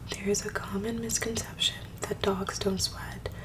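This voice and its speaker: Very slow female speech amid noticeable background noise. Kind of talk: ASMR soft-spoken reading of dog facts.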